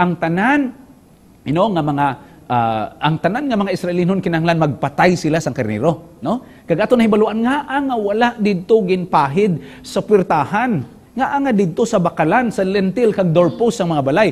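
A man with a Western Visayan accent at a moderate pace, high in pitch with very wide pitch swings. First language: Hiligaynon (speaking Tagalog). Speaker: pastor and communication director; pastor teaching a Bible lesson. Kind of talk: Bible study lesson. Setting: studio. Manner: halting, many filler sounds. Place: studio. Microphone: lapel.

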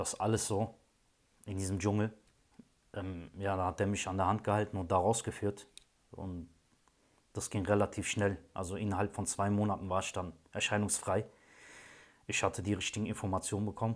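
A man's fairly low voice, monotone and flat, at a moderate pace with long, frequent pauses. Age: 30s. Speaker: client giving a testimonial, train driver. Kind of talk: testimony. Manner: hesitant, many filler sounds. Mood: calm, reflective. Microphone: phone near.

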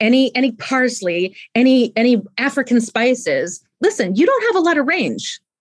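A woman speaks with an American accent at a moderate pace. The background is quiet. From US West Coast, San Francisco Bay Area; US West Coast. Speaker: leadership expert; podcast guest, leadership coach. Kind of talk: interview. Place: home room. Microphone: studio mic.

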